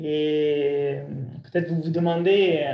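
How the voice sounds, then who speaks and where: Audible room echo surrounds a man with a dark, mellow tone, a high pitch and an Italian accent. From Italy. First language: Italian (speaking French). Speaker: breathing coach. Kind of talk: lecture. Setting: video call.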